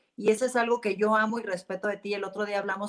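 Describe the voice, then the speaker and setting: In a Mexican accent, a woman speaks at a very fast pace with monotone, flat intonation. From Mexico (Jalisco). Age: 40s. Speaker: businesswoman in luxury sector. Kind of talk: interview.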